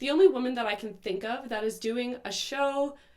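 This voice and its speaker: A woman with an unremarkable speaking voice talks at a moderate pace, with ordinary pitch variation. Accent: Canadian. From Canada. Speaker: podcast host. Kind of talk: political commentary monologue. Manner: casual, filler-heavy.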